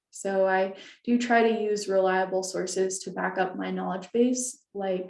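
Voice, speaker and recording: With audible room echo, a woman talks at a fairly slow pace in a medium pitch and fairly even intonation. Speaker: librarian presenter. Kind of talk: webinar presentation.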